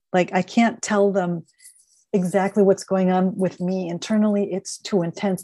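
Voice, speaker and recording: Over a dry, close sound with no echo, a woman's dark, mellow voice moves with fairly even intonation. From Minnesota, Minneapolis. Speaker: author and end of life doula. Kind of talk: interview.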